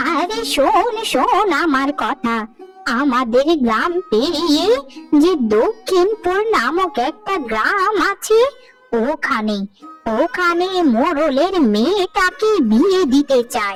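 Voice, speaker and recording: A woman uses a cartoonish character voice at an extremely high pitch, speaking very slowly over faint background music. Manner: brisk, conspiratorial.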